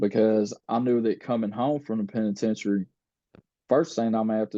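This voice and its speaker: Speaking at a fairly quick pace, this is a normal speaking voice in an American accent. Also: man. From United States. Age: 30s. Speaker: former prisoner sharing life story. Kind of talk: podcast interview, personal testimony. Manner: casual, conversational with many fillers.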